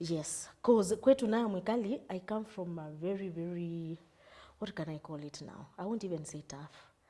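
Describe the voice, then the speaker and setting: A woman speaks at a moderate pace with a fairly low pitch and a dark, mellow tone. Her pitch variation is ordinary, while her loudness swings widely. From Kenya, Ukambani. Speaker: mental health advocate. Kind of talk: interview.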